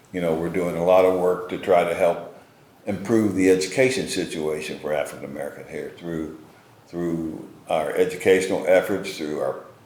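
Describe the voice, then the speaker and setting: Audible room echo and noticeable background noise fill the recording. At a moderate pace, a man talks. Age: 70s. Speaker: community foundation leader. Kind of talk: interview. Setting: on location at a local business.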